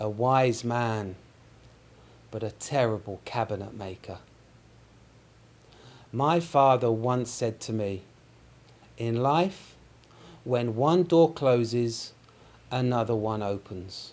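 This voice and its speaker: Speaking very slowly with long, frequent pauses, a man with a London accent keeps a medium pitch and ordinary pitch variation. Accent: British (London). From London, England. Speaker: English teacher. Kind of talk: joke telling.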